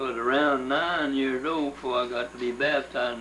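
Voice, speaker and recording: A man in a Louisiana accent talks at a moderate pace and medium pitch with monotone, flat intonation, against noticeable background noise and audible room echo. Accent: Louisiana Southern US. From US South. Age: 70s. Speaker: interviewee recounting family history. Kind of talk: oral history interview. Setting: at home. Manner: halting.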